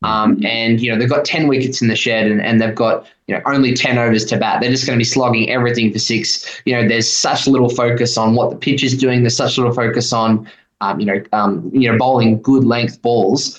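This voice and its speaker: A man with an Australian accent talks at a fairly quick pace with hardly any pauses. His medium pitch, fairly even intonation and very even loudness hold throughout. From Queensland, Australia. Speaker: economic policy researcher. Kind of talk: radio interview.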